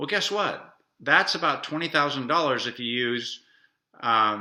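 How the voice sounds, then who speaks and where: At a moderate pace, a man speaks with a bright, sharp tone, medium pitch and ordinary pitch variation. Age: 60s. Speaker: travel vlogger. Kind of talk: casual explainer monologue. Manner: halting with fillers.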